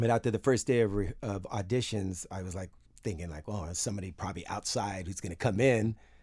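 A man with an American accent talks in a plain, everyday voice at a fairly quick pace and fairly low pitch. His pitch variation is ordinary, and the recording is very clean with a silent background. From US West Coast, San Francisco Bay Area. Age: 50s. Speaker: bass player. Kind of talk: casual interview.

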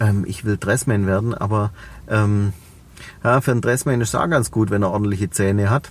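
A man with a Swabian accent talks at a moderate pace and a fairly low pitch, with ordinary pitch variation. He takes long, frequent pauses. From Swabia, Reutlingen. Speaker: entrepreneur and personal development coach. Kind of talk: interview.

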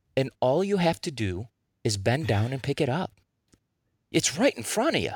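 A man's voice with vocal fry and very wide pitch swings at a moderate pace, dry and close with no echo, on a very clean recording against a silent background. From US Midwest (Chicago suburbs), born in Russia. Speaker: promotional products business owner. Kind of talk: interview.

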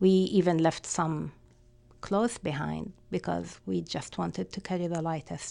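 A woman with an Arabic accent talks at a moderate pace. She takes long, frequent pauses. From Palestine. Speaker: community organization director. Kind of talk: personal testimony.

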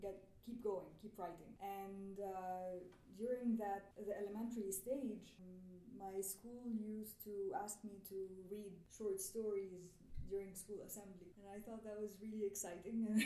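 Against noticeable background noise, a woman with an Egyptian accent talks at a fairly slow pace in a medium pitch, her intonation monotone and flat. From Egypt, Cairo. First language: Arabic. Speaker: poet and writer. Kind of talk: panel discussion.

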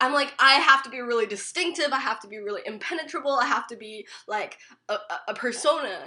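Very fast and lively, a woman projects a raised voice at a high pitch. Her loudness swings widely. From Richmond, British Columbia, Canada. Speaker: undergraduate student. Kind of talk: casual chat.

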